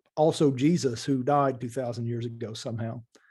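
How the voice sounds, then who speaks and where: With an Appalachian accent, a man talks at a medium pitch in a dark, mellow tone and with fairly even intonation. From eastern Kentucky, Appalachia. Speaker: spiritual teacher, former lawyer. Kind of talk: interview answers.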